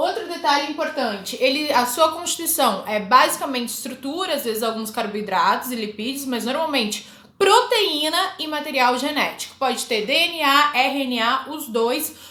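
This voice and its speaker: A woman's raised, projected voice, high in pitch with lively intonation, amid noticeable background noise and audible room echo. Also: moderate pace. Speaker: biology teacher. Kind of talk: lecture. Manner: casual, informal.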